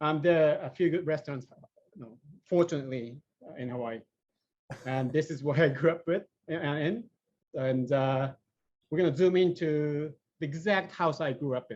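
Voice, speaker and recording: With a Japanese accent, a man at a fairly high pitch speaks at a moderate pace, leaving long, frequent pauses. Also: ordinary pitch variation, big swings in loudness. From Japan (Sapporo). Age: 50s. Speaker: AI engineer. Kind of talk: presentation. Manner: halting, many fillers.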